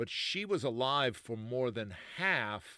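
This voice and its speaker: A man with an unremarkable speaking voice talks at medium pitch and a fairly slow pace. The recording is very clean against a silent background. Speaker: oral history interviewer. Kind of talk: podcast intro narration.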